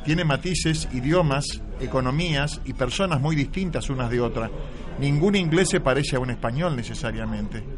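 A man with an Argentine accent talks at a moderate pace, his fairly high pitch showing ordinary variation, amid audible room echo and noticeable background noise. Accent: Argentine accent noticed in Madrid. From Buenos Aires, Argentina. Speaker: writer and playwright. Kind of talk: radio interview. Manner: halting, repeats words.

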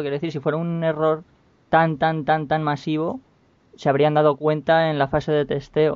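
With a Spanish accent, the voice moves along at a moderate pace. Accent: Peninsular Spanish. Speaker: podcast panelist. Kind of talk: casual chat.

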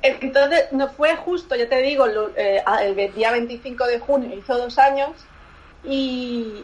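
The speech moves at a very slow pace with ordinary pitch variation. Noticeable background noise can be heard. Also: woman. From Barcelona, Spain. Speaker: lingerie designer. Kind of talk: interview. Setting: remote call. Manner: halting.

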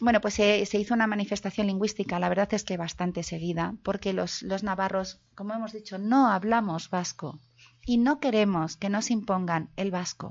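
Here is a woman with a plain, everyday voice at a medium pitch. She keeps a moderate pace and fairly even intonation. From Navarre, Pamplona. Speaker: linguist and victims' association president. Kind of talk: lecture.

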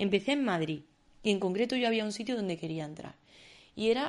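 A woman is speaking. The background is quiet. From Andalusia, Spain (Córdoba). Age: 20s. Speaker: illustrator and podcast host. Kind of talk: personal monologue.

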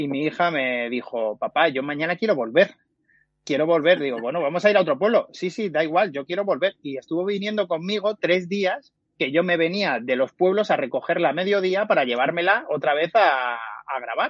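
At a moderate pace, the delivery rises and falls with lively intonation. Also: man, high pitch for a man. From Extremadura, Cáceres province. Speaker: podcast platform founder. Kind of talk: interview. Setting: live stream.

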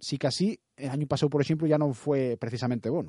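A man speaks at a fairly high pitch with a dark, mellow tone, recorded dry and close with no echo against a quiet background. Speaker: radio host. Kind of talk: radio interview.

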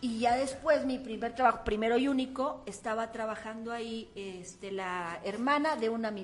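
Over noticeable background noise, a woman with a fairly high voice talks at a moderate pace with hardly any pauses. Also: ordinary pitch variation. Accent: Mexican. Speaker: comedian. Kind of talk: casual chat; event promotion.

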